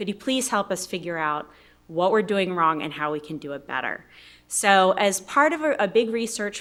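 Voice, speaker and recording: The recording is very clean, with a silent background. A woman speaks at medium pitch. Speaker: keynote speaker, sociologist researcher. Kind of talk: conference keynote presentation. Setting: conference stage with audience. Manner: fast.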